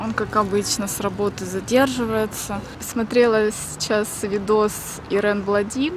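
Noticeable background noise surrounds a woman with a fairly high pitch who speaks at a very slow pace in a dry sound with no echo. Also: fairly even intonation. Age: 30s. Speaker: vlogger. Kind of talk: casual vlog. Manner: chatty.

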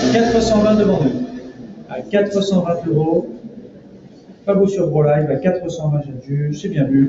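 Pitched high for a man, this speaker talks at a very slow pace with long, frequent pauses and ordinary pitch variation, while noticeable background noise and audible room echo fill the recording. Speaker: auctioneer. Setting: auction room with live and online bidders. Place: hall.

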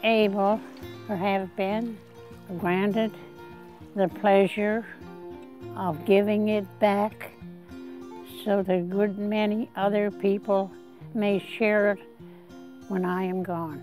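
Faint music plays in the background of a dry recording with no echo. A woman of medium pitch speaks very slowly with fairly even intonation and long, frequent pauses. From New Brunswick, Canada. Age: 80s+. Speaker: land donor interviewee. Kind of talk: interview answer. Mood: earnest, heartfelt. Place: garden. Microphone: lapel.

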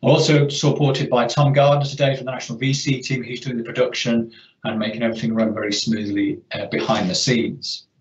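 Somewhat breathy speech moves at a fairly quick pace with ordinary pitch variation. Room echo is audible. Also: man. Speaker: webinar host. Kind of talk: presentation introduction. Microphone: video call.

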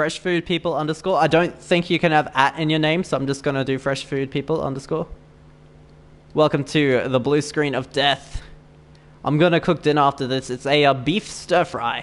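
A man with an Australian accent, fairly high-pitched, with fairly even intonation at a moderate pace. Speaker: gaming streamer. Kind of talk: live gameplay stream chat. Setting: online voice chat during live stream. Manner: chatty, laughs often.

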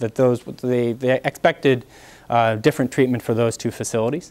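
The speaker is a man. He talks at a moderate pace. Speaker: panel moderator. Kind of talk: event introduction. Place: classroom.

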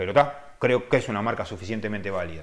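With lively intonation, the man talks while the background stays quiet. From Uruguay. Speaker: car detailer and channel host; channel host. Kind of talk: live-stream chat answering viewer questions. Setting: live stream. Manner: casual, hesitant with many fillers. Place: home room. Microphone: webcam.

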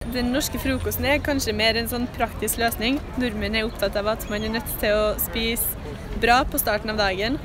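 A woman's fairly high voice with fairly even intonation comes through a dry sound with no echo and noticeable background noise. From Norway, Trondheim. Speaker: passerby interviewee. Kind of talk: street interview answer. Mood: relaxed, squinting in sun. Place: street. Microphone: phone near.

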